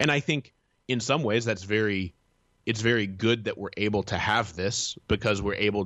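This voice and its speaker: A man talks at a moderate pace with fairly even intonation in a plain, everyday voice. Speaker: content editor and newsletter author. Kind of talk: interview discussion.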